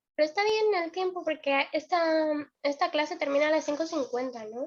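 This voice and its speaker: This woman's voice sits high in pitch. It varies in an ordinary way. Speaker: university student presenting a workshop. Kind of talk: casual chat. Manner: fast.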